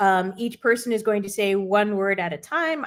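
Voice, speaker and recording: A woman's normal speaking voice with an American accent, medium in pitch, with ordinary pitch variation at a moderate pace. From New Jersey, US. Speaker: improv game host, marketing leader. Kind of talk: casual livestream chat.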